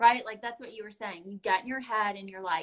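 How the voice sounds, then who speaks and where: A woman speaks with a bright, sharp tone. Her pitch is fairly high, with ordinary variation. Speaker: network marketing live streamer. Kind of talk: casual live stream chat. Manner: filler-heavy, says um often.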